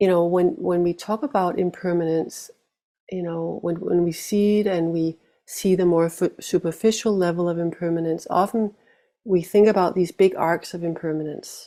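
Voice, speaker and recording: A dark, mellow tone with fairly even intonation at a moderate pace, on a very clean recording with a silent background. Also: woman. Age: 50s. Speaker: meditation teacher. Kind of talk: dharma talk.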